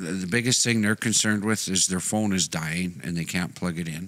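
Very deep and low, a man's voice moves at a fairly quick pace with ordinary pitch variation. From Canada. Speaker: podcast co-host. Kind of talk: casual chat. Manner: loud. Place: studio. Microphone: studio mic.

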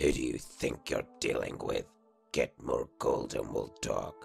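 A man performs a put-on character voice at an extremely high pitch. Faint music plays in the background. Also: fairly slow pace. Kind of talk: video game character reel. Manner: gruff, contemptuous.

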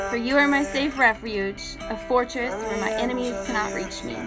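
Clear music plays in the background as the speaker talks at a moderate pace with ordinary pitch variation. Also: woman. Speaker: faith vlogger. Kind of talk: casual devotional live chat. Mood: warm, encouraging, smiling. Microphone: phone near.

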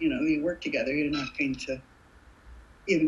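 A woman talks at a fairly quick pace in a very deep, low pitch. Her voice is somewhat breathy. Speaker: actress. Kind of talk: interview answer. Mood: warm, thoughtful. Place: home room. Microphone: webcam.

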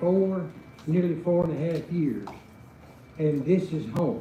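There is audible room echo around this man's fairly high voice. He speaks at a fairly slow pace with ordinary pitch variation. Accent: Arkansas. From Arkansas. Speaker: invocation speaker, local clergy. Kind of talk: informal remarks before prayer. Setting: city council chambers.

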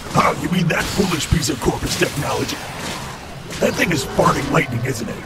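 Against loud background noise and a slight echo, a man puts on a character voice, speaking at a fairly high pitch and a fairly quick pace.

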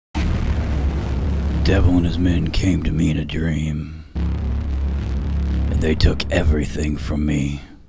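Over music in the background, a man with a very deep, low voice speaks in a dramatic tone, monotone and flat, at a very slow pace with hardly any pauses. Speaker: amateur filmmaker. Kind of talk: movie trailer. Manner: dark, dramatic.

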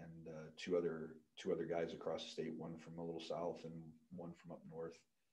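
A man with an American accent speaks at a fairly quick pace but with long, frequent pauses. His very deep, low voice has a dark, mellow tone and monotone, flat intonation. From US Midwest. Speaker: pole vault coach and sports equipment employee; pole vault coach. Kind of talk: casual interview. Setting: studio, in person. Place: studio. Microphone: studio mic.

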